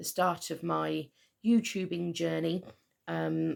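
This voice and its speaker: A woman speaks at a fairly slow pace with a West Country accent. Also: very clean recording, silent background. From Southwest England. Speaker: knitter and yarn dyer. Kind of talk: casual talk to camera.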